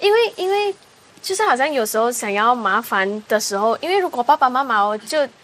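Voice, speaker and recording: Noticeable background noise runs under a woman's high voice. Her pitch swings very widely. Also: fairly quick pace. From Malaysia. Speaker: singer. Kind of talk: casual chat.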